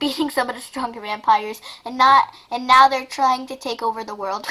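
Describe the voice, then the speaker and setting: A woman's high-pitched, put-on character voice at a fairly quick pace. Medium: read story. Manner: urgent.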